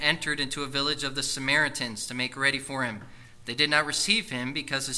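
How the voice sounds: The reading voice is natural. Its intonation is fairly even.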